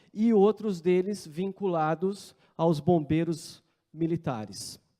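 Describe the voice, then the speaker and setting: A man's high-pitched voice with a Brazilian accent and ordinary pitch variation. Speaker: wildfire management coordinator. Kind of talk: conference talk. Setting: conference room with audience.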